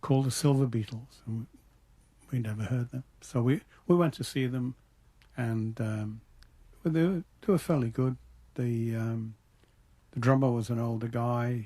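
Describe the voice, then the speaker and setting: In a Liverpool accent, a man with a dark, mellow, somewhat breathy tone speaks at a moderate pace, with long, frequent pauses. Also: medium pitch for a man, ordinary pitch variation. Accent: Liverpool (Scouse) English. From Liverpool, England. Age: old. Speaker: musician. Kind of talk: interview answer.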